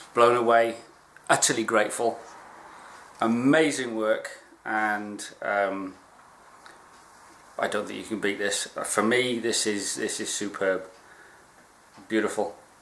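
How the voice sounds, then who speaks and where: With audible room echo, a man speaks at a fairly slow pace with fairly even intonation and long, frequent pauses. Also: medium pitch for a man. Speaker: archery hobbyist vlogger. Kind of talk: unboxing video.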